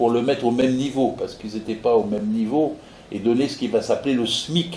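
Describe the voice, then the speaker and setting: A man's medium-pitched voice with lively intonation at a moderate pace, with audible room echo. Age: 80s+. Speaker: retired labour inspector and political activist. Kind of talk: political speech at a public meeting. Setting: meeting hall with audience. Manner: animated; halting with repetitions.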